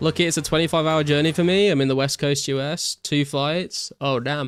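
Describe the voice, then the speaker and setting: Music plays in the background as a man speaks at a fairly quick pace. His pitch is fairly high and his intonation fairly even. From English Midlands, near Birmingham. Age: 20s. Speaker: streamer. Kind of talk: casual chat. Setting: live stream reading chat.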